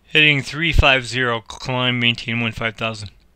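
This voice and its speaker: Mumbling at a moderate pace, a man speaks at medium pitch with a bright, sharp tone. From Chicago area, US Midwest. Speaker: gamer playing air traffic control simulator. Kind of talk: gameplay commentary with simulated radio calls. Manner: mumbled diction.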